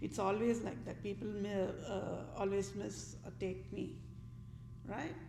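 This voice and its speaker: A woman talks at a fairly slow pace. Room echo can be heard. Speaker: vlogger. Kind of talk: political rant monologue.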